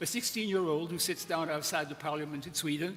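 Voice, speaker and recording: Noticeable background noise is present. Through it, a man talks. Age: 80s+. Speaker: conference speaker. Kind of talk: conference talk.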